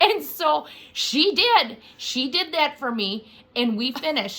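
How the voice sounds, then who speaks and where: The voice is raised and projected, moving at a very slow pace. Its pitch swings very widely. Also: woman, high pitch for a woman. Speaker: amateur video applicant. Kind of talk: casual chat. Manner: loud.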